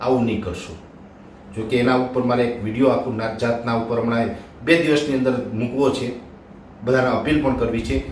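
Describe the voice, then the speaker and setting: A man talks at a medium pitch. Audible room echo and light background noise surround him. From Gujarat, Junagadh district; Gujarat. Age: 40s. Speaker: weather forecaster. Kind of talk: video monologue. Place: home room.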